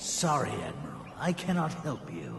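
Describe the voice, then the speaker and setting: The voice is a put-on character voice with a slight echo. Background noise is clearly audible. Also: man. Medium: video game. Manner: haughty, self-assured.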